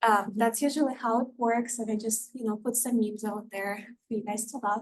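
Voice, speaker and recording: A woman with a Russian accent, fairly high-pitched and fairly quick, in a monotone, flat intonation. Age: 20s. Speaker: paralegal. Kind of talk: presentation to student club.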